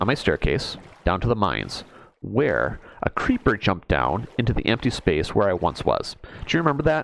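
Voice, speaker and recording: A man speaks at a moderate pace with a fairly low pitch. There is noticeable background noise. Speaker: gaming video creator. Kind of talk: casual gameplay commentary. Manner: casual, scatterbrained.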